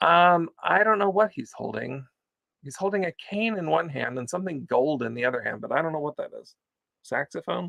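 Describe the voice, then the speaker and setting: A man speaks at a fairly high pitch with lively intonation and a bright, sharp tone. The sound is dry and close, with no echo. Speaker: online vintage seller hosting live sale. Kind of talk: live sales pitch. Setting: livestream video. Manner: fast; chatty, animated.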